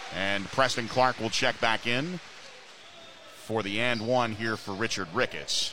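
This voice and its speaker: At a fairly slow pace, a man speaks at a medium pitch with ordinary pitch variation in a normal speaking voice. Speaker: radio play-by-play announcer. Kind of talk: live sports commentary. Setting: gymnasium broadcast.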